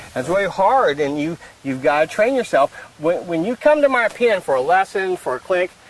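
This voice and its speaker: Over noticeable background noise, a man talks fairly quickly at a high pitch with very wide pitch swings, the sound dry and close with no echo. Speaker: horse trainer, trail clinician. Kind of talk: instructional conversation. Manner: fast.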